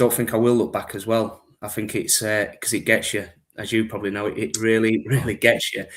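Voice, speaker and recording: A man talks fairly quickly in a strong Yorkshire accent, at a medium pitch. His intonation is monotone and flat, on a very clean recording with a silent background. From Yorkshire, northern England. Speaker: gift card business manager. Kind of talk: podcast interview.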